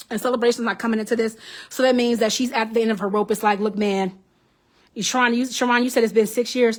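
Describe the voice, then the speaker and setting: At a very fast pace, a woman talks in a fairly high pitch with an animated tone. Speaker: psychic medium, tarot reader. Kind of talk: live stream tarot reading. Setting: Facebook live stream.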